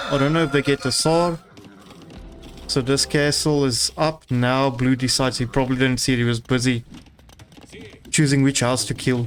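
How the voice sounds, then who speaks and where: A man with a non-native accent, fairly even in intonation, with long frequent pauses and noticeable background noise. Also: medium pitch for a man, moderate pace, very even loudness. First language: not English. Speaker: game caster. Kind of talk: live commentary. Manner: halting.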